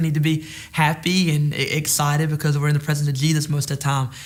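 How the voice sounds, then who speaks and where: A man talks at a very fast pace. His voice is somewhat breathy and fairly high-pitched. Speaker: pastor. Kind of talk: bible study teaching. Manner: halting, many repeated words.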